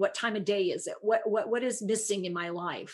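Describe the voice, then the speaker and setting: A woman talks at a moderate pace and medium pitch, with ordinary pitch variation and an ordinary speaking voice. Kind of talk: explanatory interview answers.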